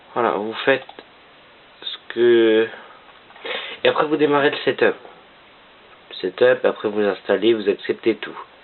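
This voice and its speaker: The speech moves at a fairly slow pace with long, frequent pauses, over noticeable background noise. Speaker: gaming tutorial youtuber. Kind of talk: tutorial. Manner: speaking quietly; halting, many fillers.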